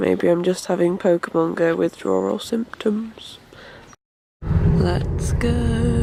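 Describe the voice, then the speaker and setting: A woman with a British accent speaks very slowly, leaving long, frequent pauses. Her loudness stays very even, and music plays in the background. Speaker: vlogger. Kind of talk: travel vlog.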